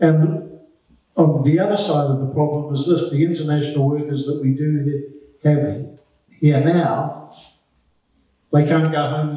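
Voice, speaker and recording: A man with a New Zealand accent, fairly high pitch and a dark, mellow, somewhat breathy tone, fairly even intonation at a moderate pace with long, frequent pauses, over a quiet background with audible room echo. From New Zealand, Upper Hutt. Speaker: media manager for a rail infrastructure project; guest. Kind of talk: presentation to a club meeting. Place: hall. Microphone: handheld.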